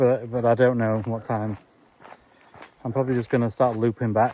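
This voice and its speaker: A man's medium-pitched voice with an English accent, moderate pace and flat, monotone intonation, over noticeable background noise. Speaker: vlogger. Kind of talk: walking vlog monologue. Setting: outdoors, walking. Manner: calm, not giddy like a presenter.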